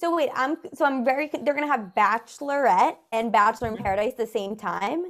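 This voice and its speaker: Speaking at a fairly quick pace with hardly any pauses, a woman with a New York accent uses a high pitch and lively intonation. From New York City. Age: 20s. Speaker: comedian. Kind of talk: casual chat.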